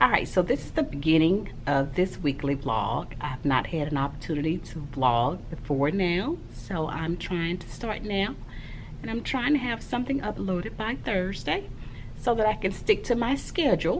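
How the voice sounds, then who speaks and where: Amid noticeable background noise and audible room echo, a woman speaks at a moderate pace in a fairly low voice with very wide pitch swings. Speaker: primary school teacher and vlogger. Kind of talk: casual vlog talk.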